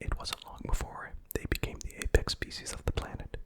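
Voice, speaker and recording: A whisper at a fairly slow pace against noticeable background noise. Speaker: ASMR content creator. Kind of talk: ASMR lore reading, game story narration. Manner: whispered, soft.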